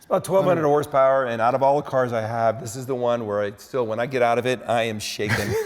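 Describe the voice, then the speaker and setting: Over noticeable background noise, a man at medium pitch rushes along at a very fast pace, his loudness swinging widely while his pitch varies in an ordinary way. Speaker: inventor of modular garage flooring, car collector. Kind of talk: TV interview answer.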